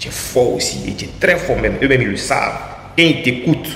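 A man's voice comes through with light background noise and audible room echo. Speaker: music commentator vlogger. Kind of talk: casual vlog commentary. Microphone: phone near.

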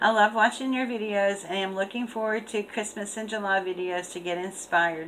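Fairly even intonation at a moderate pace over light background noise. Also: woman. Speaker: craft channel host. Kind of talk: casual vlog chat, reading a letter aloud. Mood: cheerful, laughing. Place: home room. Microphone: webcam.

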